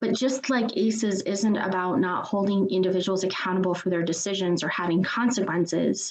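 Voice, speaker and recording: In an unremarkable speaking voice, a woman talks at a fairly quick pace with hardly any pauses, at medium pitch, with ordinary pitch variation and very even loudness. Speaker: trainer. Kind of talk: webinar presentation.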